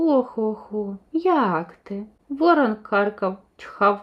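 Natural-voiced reading aloud, lively in intonation

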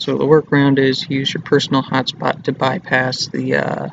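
A quiet man at a moderate pace, dry sound with no echo, noticeable background noise. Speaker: college student. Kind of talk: casual screen-recording tutorial. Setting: public study area, not a studio. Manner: quiet, hushed.

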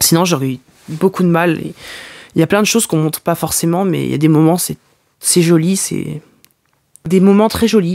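Long, frequent pauses break up speech at a moderate pace against a quiet background. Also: man. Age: young. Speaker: podcaster. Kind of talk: personal confessional monologue. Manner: halting. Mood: emotional, frustrated, moved. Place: home room. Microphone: studio mic.

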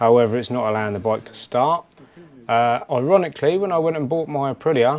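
A man's fairly quick delivery with ordinary pitch variation. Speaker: motorcycle vlogger. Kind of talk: casual vlog chat. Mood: wry, mildly disappointed. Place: street. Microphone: phone near.

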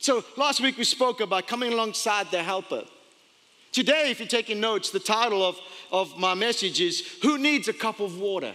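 A man's raised, projected voice, high in pitch, with ordinary pitch variation at a moderate pace. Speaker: pastor. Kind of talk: sermon. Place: church. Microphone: headset.

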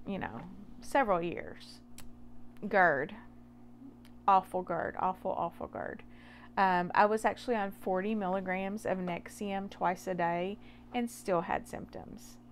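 Over light background noise, a woman speaks at a fairly slow pace and a medium pitch, with ordinary pitch variation. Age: 40s. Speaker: nurse and health vlogger. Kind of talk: personal testimony monologue. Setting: home office late at night. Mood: earnest, emphatic. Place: garage.

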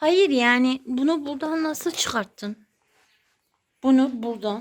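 The woman talks in a high pitch at a very slow pace, with ordinary pitch variation. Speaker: vlogger. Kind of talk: casual talk to camera.

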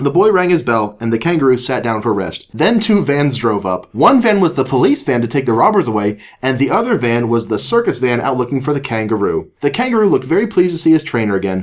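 At a very fast pace with hardly any pauses, a man talks at a medium pitch with very wide pitch swings. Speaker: podcast co-host. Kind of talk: casual chat.

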